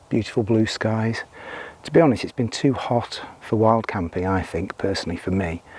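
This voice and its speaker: A man's fairly low voice at a moderate pace with ordinary pitch variation, over noticeable background noise. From UK. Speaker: outdoor vlogger. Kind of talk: casual vlog narration. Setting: outdoors. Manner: quiet.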